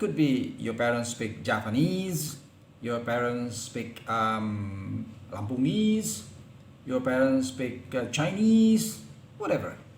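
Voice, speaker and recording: With lively intonation, a man at medium pitch talks at a very slow pace, with audible room echo around him. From Indonesia, Palembang. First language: Palembangese. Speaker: lecturer. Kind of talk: lecture. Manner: halting.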